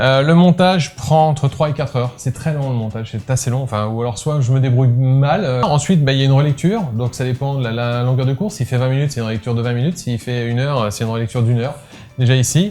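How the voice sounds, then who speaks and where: A man talks very fast at a medium pitch with ordinary pitch variation while music plays in the background. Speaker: photography tutorial youtuber. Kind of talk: casual behind-the-scenes talk to viewers. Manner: hesitant, many filler sounds.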